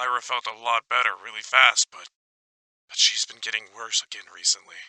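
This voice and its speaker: In a put-on character voice, a man of medium pitch speaks raspily and quickly with a nervous tone and big swings in loudness, the sound dry and close with no echo. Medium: audio drama. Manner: nervous, stammering.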